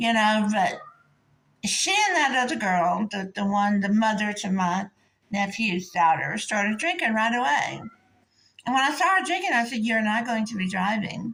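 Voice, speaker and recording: A woman's fairly high voice with lively intonation at a moderate pace, an unremarkable speaking voice. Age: 60s. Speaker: vlogger telling personal story. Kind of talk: casual storytelling monologue.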